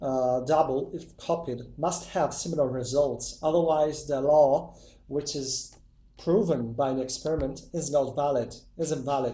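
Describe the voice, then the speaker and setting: Audible room echo carries a man's fairly high-pitched, somewhat breathy voice. His tone is dark and mellow, with fairly even intonation. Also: fairly slow pace. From Italy. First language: Italian. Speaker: YouTuber testing myths. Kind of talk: casual video intro. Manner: hesitant.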